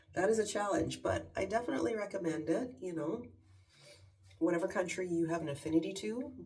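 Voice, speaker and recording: Someone with a Canadian accent talks at a very fast pace, with audible echo in the room. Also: woman, fairly low pitch for a woman, lively intonation. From Canada. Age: 50s. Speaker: lifestyle vlogger. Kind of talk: casual chat. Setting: at home in her bathroom.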